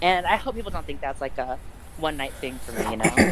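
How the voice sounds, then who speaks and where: Very fast speech from a woman with a very deep, low pitch, lively intonation and noticeable background noise. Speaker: wrestler. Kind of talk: casual interview.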